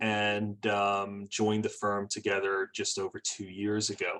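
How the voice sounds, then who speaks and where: This man has a fairly low pitch and a bright, sharp tone. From England and Brazil. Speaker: trusts and estates attorney. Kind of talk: webinar presentation. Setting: live webinar. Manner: hesitant, many fillers.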